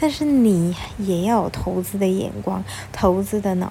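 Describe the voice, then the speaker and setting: Noticeable background noise accompanies a woman speaking at a fairly slow pace. Her tone is animated. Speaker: podcast host, stay-at-home mom blogger. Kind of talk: casual monologue, personal finance tips. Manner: toned down, gentler for recording.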